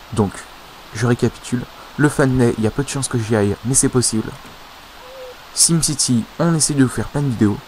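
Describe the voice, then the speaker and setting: Noticeable background noise sits behind a man talking at a fairly quick pace, pitched in the middle range with ordinary variation. He leaves long, frequent pauses. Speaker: video game YouTuber. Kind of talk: casual gaming commentary. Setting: home recording, voiceover on gameplay. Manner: hesitant, filler words, casual.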